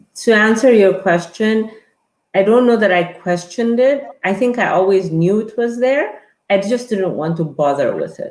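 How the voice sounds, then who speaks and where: A woman talks with an Ethiopian accent at a moderate pace. Her pitch is fairly high, with ordinary pitch variation. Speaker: guest. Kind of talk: interview conversation. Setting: live online stream.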